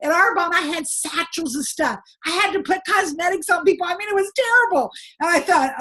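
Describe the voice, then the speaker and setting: Loud and projected, a woman speaks at a fairly quick pace with an extremely high pitch, a bright, sharp tone and an American accent. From United States. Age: 60s. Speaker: direct sales trainer. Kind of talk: sales training talk with personal story. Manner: animated.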